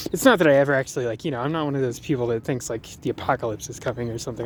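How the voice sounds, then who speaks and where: A man talks at a medium pitch. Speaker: vlogger. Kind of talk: casual vlog monologue. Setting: outdoors, walking at work. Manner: stutters sometimes; hesitant, many fillers.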